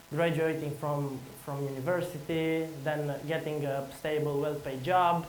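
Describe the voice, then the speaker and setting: A man with a Romanian accent speaks at a fairly high pitch and a fairly slow pace, in a monotone, flat intonation. Audible room echo and noticeable background noise surround him. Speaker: conference speaker, entrepreneur. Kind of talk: conference talk. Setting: stage with audience. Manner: halting.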